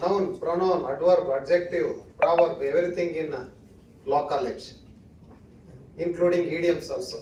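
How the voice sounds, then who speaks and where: Moderate pace in a Kannada accent, with fairly even intonation, long and frequent pauses, and audible room echo. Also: man, high pitch for a man. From India, Karnataka (Western Ghats village). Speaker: judge or senior legal figure, chief guest. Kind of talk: ceremonial speech. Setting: auditorium with audience.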